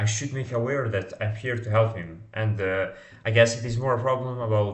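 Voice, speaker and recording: Somewhat breathy and at a moderate pace, a man with a medium pitch and a non-native accent speaks with audible room echo. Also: fairly even intonation. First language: not English. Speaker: startup founder and salesman. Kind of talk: vlog monologue. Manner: halting, many fillers.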